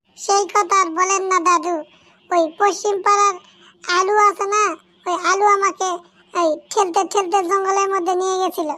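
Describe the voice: This is a cartoonish character voice at a moderate pace. Its intonation is monotone and flat. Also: woman, extremely high pitch for a woman.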